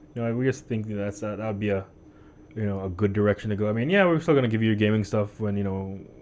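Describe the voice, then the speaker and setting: A man talks at a very fast pace with ordinary pitch variation. His voice sits fairly low. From US Virgin Islands. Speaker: podcast co-host. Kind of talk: casual chat. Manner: halting, many fillers and restarts; clear, neutralized for listeners.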